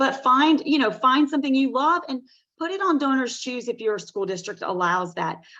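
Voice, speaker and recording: With a Southern US accent, a woman speaks at a moderate pace in a high, bright and sharp tone, her pitch swinging very widely. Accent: Southern US, noticeable. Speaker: teacher. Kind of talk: webinar presentation.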